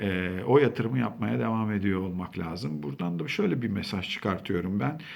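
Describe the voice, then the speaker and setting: Audible room echo surrounds a man whose very deep, low pitch moves in very wide swings at a moderate pace. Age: 40s. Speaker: school counselor. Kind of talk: talk to camera. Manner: conversational.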